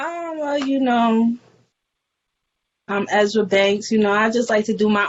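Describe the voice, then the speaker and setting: Her pitch is fairly high as this woman talks at a fairly slow pace. She takes long, frequent pauses. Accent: New York. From New York, the Bronx. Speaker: hip hop artist. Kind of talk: casual interview.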